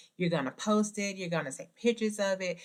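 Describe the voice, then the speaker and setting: A woman speaks in a Southern US accent. Her pitch varies in an ordinary way. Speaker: podcast host. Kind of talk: motivational podcast talk. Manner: casual, conversational.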